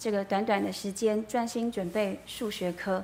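A plain, everyday voice from a woman, medium in pitch, at a moderate pace with fairly even intonation. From Taiwan, Yilan. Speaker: church member giving testimony. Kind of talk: testimony. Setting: church.

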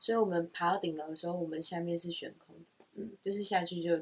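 Speaking at a moderate pace, a woman with a Taiwanese accent has a fairly low pitch. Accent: Taiwanese Mandarin. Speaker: podcast co-host. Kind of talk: casual chat.

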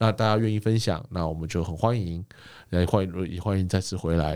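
A man's very deep, low voice with a dark, mellow tone at a very fast pace, very clean recording with a silent background. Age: 40s. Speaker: podcast co-host. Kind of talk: casual chat.

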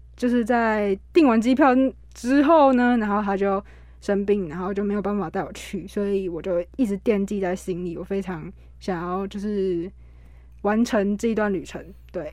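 The woman talks at a moderate pace with ordinary pitch variation. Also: medium pitch for a woman. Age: young. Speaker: university student and cancer survivor. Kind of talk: interview testimony. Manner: halting, many fillers.

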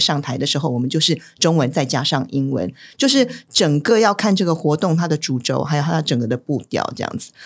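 At a fairly quick pace, a woman talks in a very deep, low voice. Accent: Taiwanese. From Taiwan, Taipei. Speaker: event host and interpreter. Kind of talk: casual chat.

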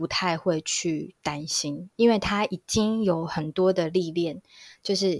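A woman with a plain, everyday voice speaks at a medium pitch with ordinary pitch variation, the sound dry and close with no echo on a very clean recording with a silent background. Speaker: HR recruitment specialist. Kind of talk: casual chat.

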